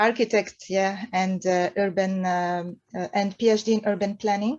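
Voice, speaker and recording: A woman speaks at a medium pitch with a French accent and ordinary pitch variation. The background is quiet. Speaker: architect and urban planning researcher. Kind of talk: conference presentation. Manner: halting.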